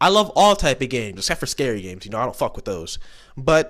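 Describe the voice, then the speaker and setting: A man speaks loudly, his pitch swinging very widely. The recording is very clean, with a silent background. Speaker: gaming let's player. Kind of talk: casual let's play intro. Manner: slight stutter.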